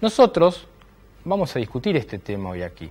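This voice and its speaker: Pitch swinging very widely, a man speaks at a fairly quick pace. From Argentina. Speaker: TV political talk show host. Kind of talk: opinion monologue; interview. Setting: studio. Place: studio. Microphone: lapel.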